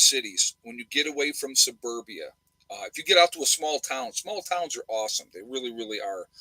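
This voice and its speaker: A man with a New York accent at a fairly quick pace, in a dry, close sound with no echo. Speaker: nurse and prepper live streamer. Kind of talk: live stream chat with viewers. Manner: fast; loud.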